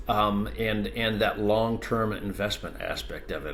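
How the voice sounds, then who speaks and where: Audible room echo surrounds a man speaking fairly slowly at a fairly low pitch. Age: 60s. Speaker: ADU industry expert. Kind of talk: podcast interview.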